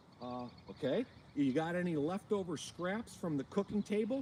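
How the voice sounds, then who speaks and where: Pitched high, a man's voice comes through. It swings very widely in pitch. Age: 50s. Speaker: fishing channel host. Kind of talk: livestream Q&A. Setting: outdoors. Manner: fast; animated.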